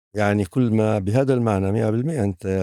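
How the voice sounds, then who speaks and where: Over a silent background in a very clean recording, a man with a fairly low pitch and a dark, mellow tone speaks with ordinary pitch variation and a dry, close sound with no echo. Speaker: philosophy professor. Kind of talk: interview answer. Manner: hesitant, reflective.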